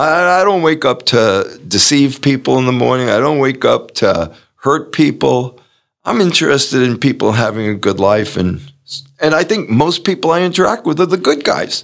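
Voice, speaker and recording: At a moderate pace, the voice shows vocal fry and very wide pitch swings while its loudness stays very even. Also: man, fairly high pitch for a man. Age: 70s. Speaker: performance coach and author. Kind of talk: interview. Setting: remote call.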